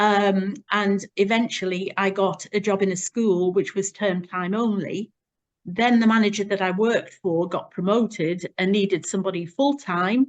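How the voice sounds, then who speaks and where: Using a normal speaking voice at medium pitch, a woman talks at a moderate pace with fairly even intonation. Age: 60s. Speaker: charity founder. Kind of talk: interview testimony.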